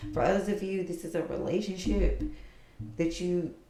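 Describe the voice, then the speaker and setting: Soft-spoken and fairly low in pitch, a woman talks at a moderate pace amid audible room echo and noticeable background noise. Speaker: tarot reader. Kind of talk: tarot reading to camera. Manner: casual, conversational.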